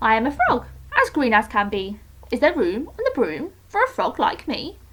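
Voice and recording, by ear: A woman does a croaky put-on character voice, high-pitched and at a moderate pace.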